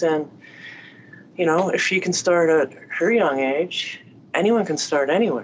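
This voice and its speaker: The pitch rises and falls in an ordinary way. It is a normal speaking voice moving at a moderate pace. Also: woman. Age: 40s. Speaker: podcast host. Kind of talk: casual chat.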